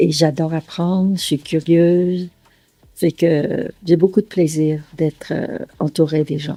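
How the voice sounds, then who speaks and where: A woman with a dark, mellow tone and a fairly low pitch speaks very slowly, in a dry, close sound with no echo. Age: 80s+. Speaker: retired engineer and business financier. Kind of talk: documentary interview testimony. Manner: halting, with frequent hesitations.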